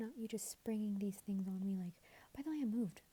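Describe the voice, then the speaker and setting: A woman whispers very fast in a soft-spoken, somewhat breathy voice. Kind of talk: asmr relationship advice rambling. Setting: headphone microphone, home recording. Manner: soft-spoken, whispery.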